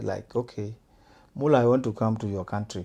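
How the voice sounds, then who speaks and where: Over a quiet background, a man speaks in a dark, mellow tone with ordinary pitch variation. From South Sudan. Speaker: events promoter and fashion designer. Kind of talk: podcast interview.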